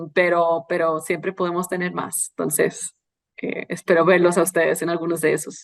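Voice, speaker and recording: A woman is speaking. Her pitch is medium. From Costa Rica. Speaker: journalist, foreign correspondent. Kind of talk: interview answers.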